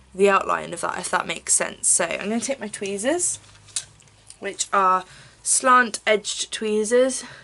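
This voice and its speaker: This woman speaks in an English accent. Her pitch is medium and her pitch variation is ordinary. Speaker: beauty vlogger. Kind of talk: tutorial. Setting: at home filming on camera. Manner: casual, chatty with fillers.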